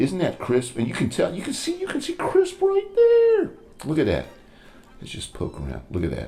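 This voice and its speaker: This man's loudness swings a lot, with noticeable background noise behind him. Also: moderate pace. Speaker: cooking show host, lawyer. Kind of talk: cooking tutorial. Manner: animated.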